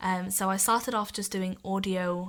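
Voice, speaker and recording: A woman with a Welsh accent, medium pitch, monotone, flat intonation and a moderate pace. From Wales. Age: 20s. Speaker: podcast guest living with muscular dystrophy. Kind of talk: interview.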